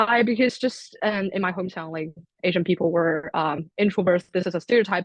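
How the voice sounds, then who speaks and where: With a Chinese accent, a woman speaks at a moderate pace in a fairly low pitch. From China. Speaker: international student. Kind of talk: panel discussion.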